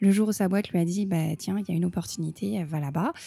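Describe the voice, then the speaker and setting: A woman talks at a fairly quick pace with a medium pitch. Her tone is dark and mellow, with ordinary pitch variation. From France. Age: 30s. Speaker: opera singer. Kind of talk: interview. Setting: Japan. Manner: talkative.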